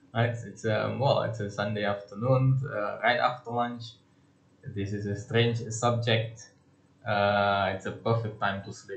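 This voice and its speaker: A man talks at a medium pitch and a fairly slow pace with monotone, flat intonation. His voice is somewhat breathy, and audible room echo surrounds it. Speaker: lecturer. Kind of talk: lecture. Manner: halting, many fillers.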